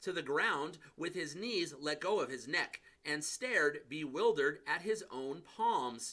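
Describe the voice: What we hear is plain reading aloud.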